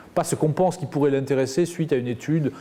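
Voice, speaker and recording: Speaking at a very fast pace in a Roussillon accent, a man has a fairly high pitch, a somewhat breathy voice and a dark, mellow tone. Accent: southern French (Perpignan). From southern France, Perpignan. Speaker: media executive. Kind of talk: interview.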